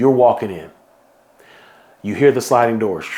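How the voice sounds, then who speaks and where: Noticeable background noise behind a man's voice in an American accent. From Houston, Texas. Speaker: event founder and organizer. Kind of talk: guided visualization; promotional vlog. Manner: animated; fast.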